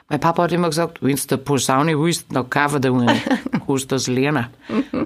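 A woman speaks with a very deep, low pitch. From Lower Bavaria, Straubing-Bogen district. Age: 30s. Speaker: singer. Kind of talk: interview.

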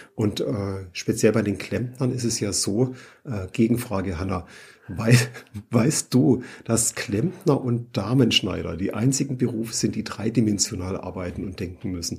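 With a fairly slow pace, a man talks in a somewhat breathy voice. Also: medium pitch for a man, ordinary pitch variation. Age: 50s. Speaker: plumber and trade magazine editor. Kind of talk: interview.

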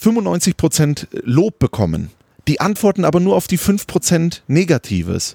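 In a very clean recording with a silent background, a man's voice sounds dry and close with no echo. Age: 30s. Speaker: football commentator. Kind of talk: casual chat. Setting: outdoors on a terrace.

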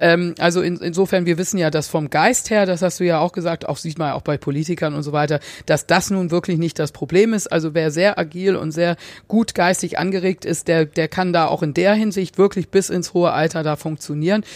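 Speaking at a fairly quick pace, a woman uses a plain, everyday voice with fairly low pitch and fairly even intonation. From England, South Africa and Germany. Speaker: advertising consultant. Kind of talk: interview. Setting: hotel room.

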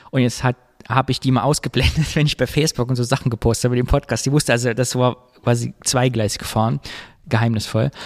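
A man at a very fast pace, fairly even in intonation, in a dry, close sound with no echo. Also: medium pitch for a man. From Thuringia, Germany. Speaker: podcast co-host. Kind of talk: casual chat.

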